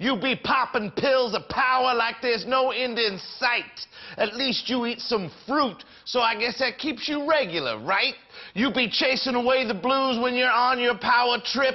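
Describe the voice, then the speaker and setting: The speech moves at a fairly slow pace with very even loudness and fairly even intonation over a quiet background. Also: man, extremely high pitch for a man. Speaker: slam poet. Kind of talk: poetry reading. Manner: rhythmic, humorous. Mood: comic, playful.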